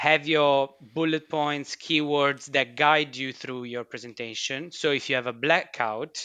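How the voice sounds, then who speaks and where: A man with a bright, sharp tone and fairly high pitch speaks at a fairly slow pace with hardly any pauses and fairly even intonation. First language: not English. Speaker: chemistry researcher. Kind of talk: casual chat.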